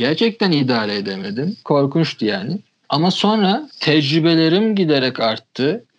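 Pitched fairly high, a man's voice moves in very wide pitch swings. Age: 20s. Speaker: magazine founder. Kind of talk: casual chat.

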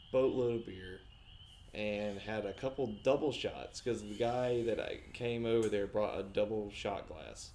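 This man has an unremarkable speaking voice, pitched at a medium level and delivered at a moderate pace. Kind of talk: casual chat.

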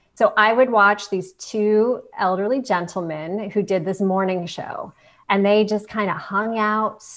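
Against a quiet background, a woman with a Midwestern American accent speaks at a moderate pace and a medium pitch. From Canton, Ohio. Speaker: television host and video coach. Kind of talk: interview.

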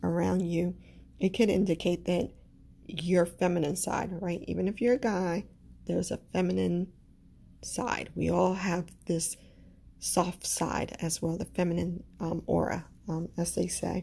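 At a fairly slow pace, a woman speaks with a Caribbean accent. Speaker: astrology podcaster. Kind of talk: solo podcast monologue with affirmations. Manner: warm, gentle.

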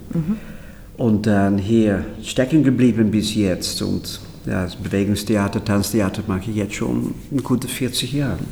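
Speaking at a fairly slow pace, a man with a Dutch accent uses a fairly low pitch and ordinary pitch variation. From Netherlands. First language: Dutch (speaking German). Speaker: choreographer. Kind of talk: interview.

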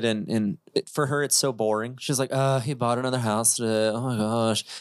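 A plain, everyday voice from a man at medium pitch with ordinary pitch variation and a moderate pace, dry and close with no echo, in a very clean recording with a silent background. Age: 30s. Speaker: real estate investor. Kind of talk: casual chat. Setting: studio.

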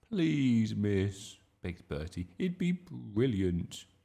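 Someone does a plain reading aloud.

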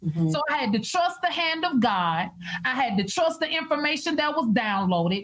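Over noticeable background noise, a high-pitched woman talks at a fairly quick pace with very wide pitch swings and very even loudness. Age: 40s. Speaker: minister and prophetess. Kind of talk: casual chat. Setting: live video stream.

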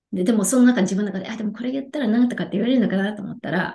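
A woman talks at a very fast pace with a fairly high pitch and ordinary pitch variation. Her tone is dark and mellow, and somewhat breathy. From Japan, Yokohama. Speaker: life coach. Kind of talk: casual interview.

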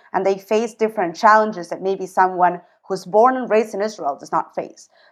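With an ordinary speaking voice, a woman talks at a fairly quick pace at a medium pitch with ordinary pitch variation. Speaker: podcast host. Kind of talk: casual interview.

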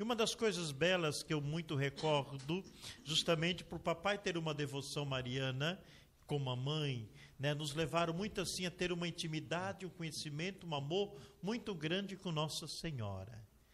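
A man's fairly high-pitched voice, an unremarkable speaking voice with ordinary pitch variation. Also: moderate pace. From Brazil, São Paulo state. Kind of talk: testimony.

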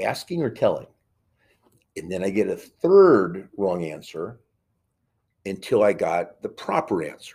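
In an American accent, the speaker makes long, frequent pauses and shows big swings in loudness. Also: man. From New York (Queens). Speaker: school board member and Marine veteran. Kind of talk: podcast interview.

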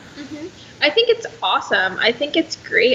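With noticeable background noise around her, a woman lets her pitch swing very widely. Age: young. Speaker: personal trainer and online fitness coach. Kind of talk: casual chat.

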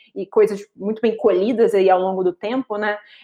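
A woman is speaking. Her pitch is medium. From Rio de Janeiro, Brazil. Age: 30s. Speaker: marketing professional. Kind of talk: interview. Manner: articulate.

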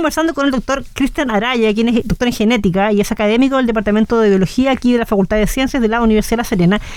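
With hardly any pauses, a woman talks at a very fast pace in a fairly high pitch, keeping very even loudness and ordinary pitch variation over noticeable background noise. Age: 30s. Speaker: radio host. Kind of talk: casual interview. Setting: radio studio.

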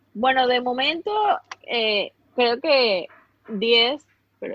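A woman with a Venezuelan accent speaks in a high, animated voice. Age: 30s. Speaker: fashion influencer. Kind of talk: casual interview chat.

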